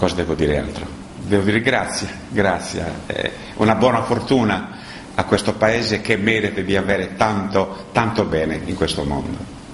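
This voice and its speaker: A man's fairly low voice, with ordinary pitch variation, comes through audible room echo and noticeable background noise. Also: moderate pace. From Sardinia, Italy. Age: 80s+. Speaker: musician. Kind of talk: interview statement. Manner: halting.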